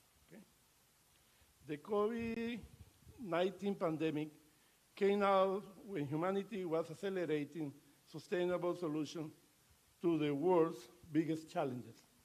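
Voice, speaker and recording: A Latin American accent with ordinary pitch variation, long, frequent pauses and big swings in loudness. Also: man, high pitch for a man, moderate pace. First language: Spanish. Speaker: ambassador. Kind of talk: formal speech. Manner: halting.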